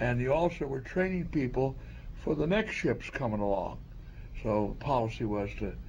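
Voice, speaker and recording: Here a man speaks at a moderate pace. His voice is somewhat breathy. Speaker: Coast Guard veteran. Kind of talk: oral history interview.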